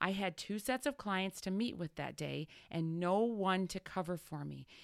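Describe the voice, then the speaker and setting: A woman with a plain, everyday voice speaks at a medium pitch and a moderate pace. Her pitch varies in an ordinary way on a very clean recording with a silent background. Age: 40s. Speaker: business coach and podcast host. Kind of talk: solo podcast monologue. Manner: warm, encouraging.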